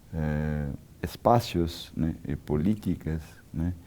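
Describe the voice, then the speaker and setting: In a Portuguese accent, a man speaks with a very deep, low pitch and a dark, mellow tone, his intonation fairly even. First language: Portuguese (speaking Spanish). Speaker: architect and urbanism scholar. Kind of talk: interview. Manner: halting, many fillers.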